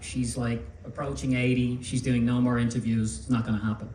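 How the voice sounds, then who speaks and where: A man's medium-pitched voice with an Irish accent, plus audible room echo and noticeable background noise. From Ireland. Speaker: magazine publisher. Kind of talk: public talk.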